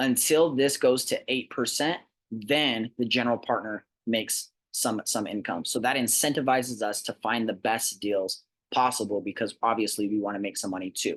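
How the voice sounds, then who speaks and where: The speaker shows ordinary pitch variation over a quiet background. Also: man, medium pitch for a man. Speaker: real estate investment presenter. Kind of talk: sales pitch. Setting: recorded presentation. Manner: fast.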